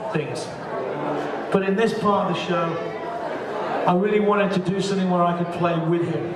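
Loud background noise and audible room echo surround a man talking at a moderate pace. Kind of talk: stage talk to audience. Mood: warm, personal, sentimental. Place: stage.

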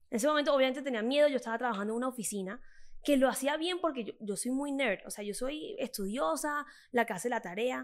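Talking at a very fast pace, a woman speaks with a high pitch. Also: lively intonation. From Colombia, Caribbean coast (Cartagena). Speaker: fitness influencer. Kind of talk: interview conversation. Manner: animated. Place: studio. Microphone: studio mic.

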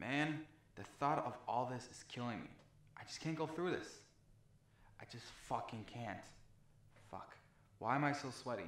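A man talks with ordinary pitch variation, big swings in loudness and long, frequent pauses. The room echo is audible. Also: moderate pace. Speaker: actor in a comedy sketch. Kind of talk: dramatic monologue to himself. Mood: anxious, panicked. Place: bathroom. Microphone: camera far.

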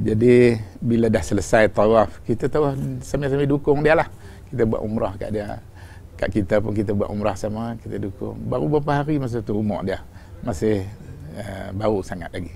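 A man with a fairly low pitch talks at a moderate pace with ordinary pitch variation over light background noise. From Malaysia. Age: 60s. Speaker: religious teacher. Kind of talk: religious lecture. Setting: on pilgrimage in Medina. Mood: calm, warm storytelling. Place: home room. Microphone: lapel.

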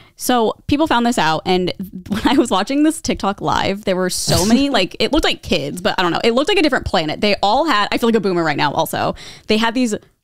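A woman talks very fast with very wide pitch swings, in a dry sound with no echo. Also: quiet background. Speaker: podcast co-host. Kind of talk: casual podcast chat, storytelling. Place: studio. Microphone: handheld.

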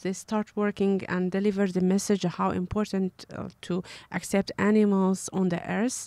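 On a very clean recording with a silent background, a woman with a Kurdish accent talks at a medium pitch and fairly slow pace. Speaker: animal rights activist. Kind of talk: interview.

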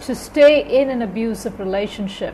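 A woman's voice with ordinary pitch variation and light background noise. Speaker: spiritual advice vlogger. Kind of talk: casual vlog talk, advice. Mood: calm, earnest. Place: home room. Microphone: earbuds.

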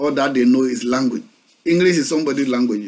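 Speaking with a Ghanaian accent, a man uses a fairly high pitch. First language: Akan. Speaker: pastor. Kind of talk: sermon. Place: home room. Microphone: webcam.

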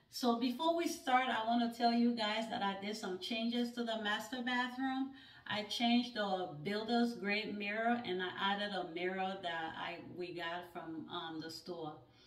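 A woman at a moderate pace with audible room echo. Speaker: home decor vlogger. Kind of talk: casual vlog chat.

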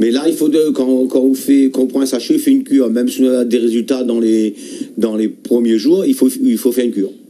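The loudness stays very even throughout. The background is quiet. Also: man. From Réunion. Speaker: herbal tea healer; guest. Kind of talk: radio call-in advice. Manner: halting. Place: studio.

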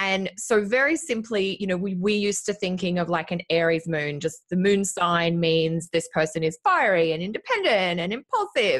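A woman with an Australian accent, medium in pitch, at a moderate pace with hardly any pauses and ordinary pitch variation, against a quiet background. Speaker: astrologer. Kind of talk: casual chat. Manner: animated. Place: home room. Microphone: studio mic.

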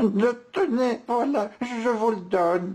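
A put-on character voice speaks at a fairly high pitch and a very slow pace. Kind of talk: reading a picture book aloud. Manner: stammering, faltering.

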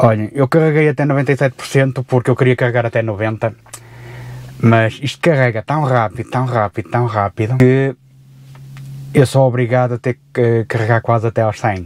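Moderate pace and fairly even intonation from a man, dry sound with no echo. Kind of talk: casual vlog chat. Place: car. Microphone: phone near.

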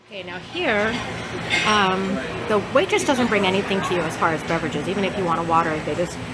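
Loud noise fills the background. The pace is very fast. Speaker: restaurant reviewer. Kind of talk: casual tour commentary. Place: bar. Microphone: phone near.

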